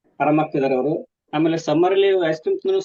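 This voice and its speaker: A man is talking. The intonation he uses is fairly even. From northern Karnataka, Ranebennur. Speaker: student of the therapy course. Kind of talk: call-in testimony.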